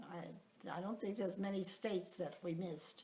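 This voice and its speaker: A woman's dark, mellow tone with an American accent. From Long Island, New York. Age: 80s+. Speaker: retiree telling her life story. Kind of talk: life story recollection. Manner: halting, many fillers.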